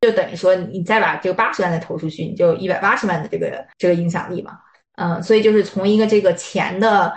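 Her speech moves at a fairly quick pace, somewhat breathy. This woman's medium pitch shows ordinary pitch variation. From Beijing, China. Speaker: life coach. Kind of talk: interview conversation. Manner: hesitant, many fillers.

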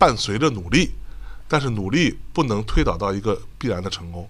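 The man's medium-pitched voice has vocal fry. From Jiangsu, China. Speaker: podcast host and podcast network founder. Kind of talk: casual chat. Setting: live podcast event recording.

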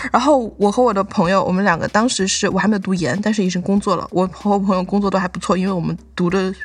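A woman talks at a very fast pace with hardly any pauses. Noticeable background noise is present. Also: medium pitch for a woman, ordinary pitch variation. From Guizhou, Guiyang. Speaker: PhD student, guest co-host candidate. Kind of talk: casual chat. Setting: video call from her lab.

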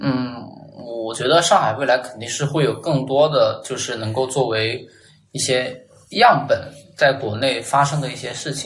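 A man's medium-pitched voice at a moderate pace, with big swings in loudness, audible room echo and noticeable background noise. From Chongqing, China. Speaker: designer. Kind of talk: casual chat.

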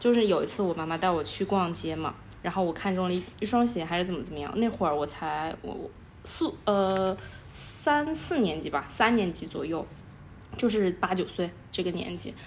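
Using an ordinary speaking voice, a woman at medium pitch talks at a moderate pace with lively intonation. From Chengdu, Sichuan, China. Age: 20s. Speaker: podcast co-host. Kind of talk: casual chat.

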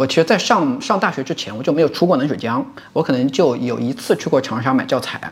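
A man speaks at a very fast pace with a slight Hunan accent and a fairly high pitch, over noticeable background noise. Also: lively intonation. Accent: slight Hunan dialect accent in Mandarin. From Hunan, Lengshuijiang. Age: 30s. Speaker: university lecturer. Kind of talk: casual chat.

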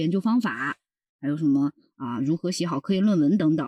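A man talks at a very fast pace with lively intonation and a dark, mellow tone. The sound is dry and close with no echo, and the background is quiet. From southern China. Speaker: PhD student. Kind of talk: casual interview chat.

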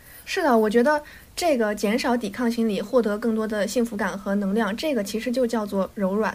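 Speaking at a fairly quick pace, a woman has an unremarkable speaking voice, fairly high in pitch, with ordinary pitch variation. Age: 20s. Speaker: podcast co-host. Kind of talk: casual chat.

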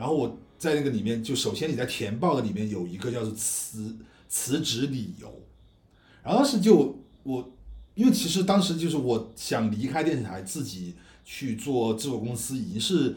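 Somewhat breathy, a man at a medium pitch talks at a moderate pace with very wide pitch swings, and audible room echo around him. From China, Guizhou. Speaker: independent film director and podcast co-host. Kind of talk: casual chat.

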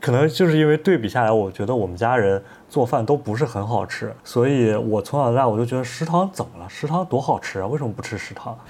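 Racing at a very fast pace with hardly any pauses, a man talks with lively intonation. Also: medium pitch for a man. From China, Henan (Zhengzhou). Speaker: podcast host and young artist. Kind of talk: casual chat.

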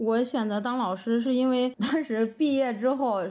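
A woman speaks at a moderate pace with a fairly high pitch and a dark, mellow tone. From Henan, rural China. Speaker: rural primary school teacher. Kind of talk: casual interview conversation.

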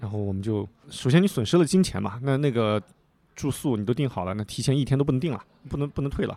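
A man talks very fast in a medium pitch, with lively intonation and a dark, mellow tone. The recording is very clean, with a silent background. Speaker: podcaster and full-time stock investor, former real estate worker. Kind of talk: casual chat. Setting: teahouse.

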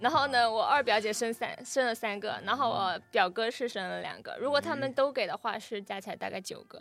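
With music in the background, a woman with a slight Fujian accent talks at a fairly quick pace in a fairly high pitch, with hardly any pauses, ordinary pitch variation and big swings in loudness. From Fujian, rural village. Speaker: podcast panelist. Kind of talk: casual chat.

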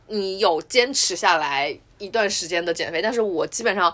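Noticeable background noise behind a fairly quick pace of speech. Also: woman. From Wuhan, China. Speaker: podcast host. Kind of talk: casual chat.

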